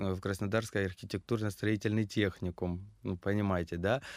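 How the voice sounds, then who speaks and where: A man with a plain, everyday voice, fairly low-pitched with fairly even intonation, in a very clean recording with a silent background. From Krasnodar, southern Russia. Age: 30s. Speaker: stylist and fashion designer. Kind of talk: casual interview.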